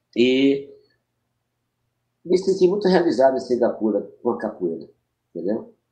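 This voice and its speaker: Using very wide pitch swings around a medium pitch, a man speaks in a dark, mellow tone with vocal fry and long, frequent pauses. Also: moderate pace. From Maranhão, Brazil. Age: 70s. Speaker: capoeira master. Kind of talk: podcast interview. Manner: halting.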